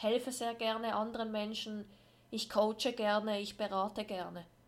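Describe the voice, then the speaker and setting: A woman with fairly high pitch talks at a fairly slow pace. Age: 20s. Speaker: podcast host. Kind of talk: personal monologue.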